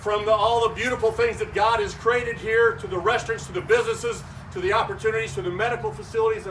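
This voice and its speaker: A man's high-pitched, animated voice in an American accent, with audible room echo and noticeable background noise. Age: 60s. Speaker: state representative. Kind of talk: ceremony speech. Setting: ribbon cutting event with audience.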